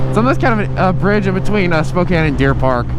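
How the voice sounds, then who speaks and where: Audible room echo and noticeable background noise behind a man speaking. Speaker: motovlogger. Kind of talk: motovlog riding commentary. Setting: on a motorcycle outdoors. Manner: casual, profane.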